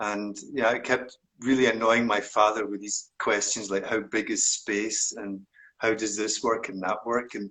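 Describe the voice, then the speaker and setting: A man's strong Scottish accent at a medium pitch, bright and sharp in tone, with monotone, flat intonation and a fairly slow pace. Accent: broad Scottish. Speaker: meditation teacher. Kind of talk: interview conversation.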